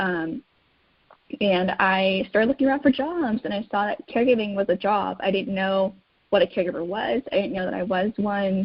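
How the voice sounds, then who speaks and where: A normal speaking voice at a moderate pace. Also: woman, medium pitch for a woman, lively intonation. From United States. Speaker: caregiving advocate. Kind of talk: interview.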